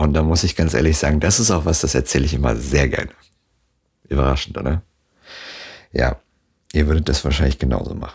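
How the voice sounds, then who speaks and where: A man's very deep, low voice with vocal fry and ordinary pitch variation, fairly quick pace, and long, frequent pauses. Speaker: solo podcaster. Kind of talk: casual monologue. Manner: casual with many fillers.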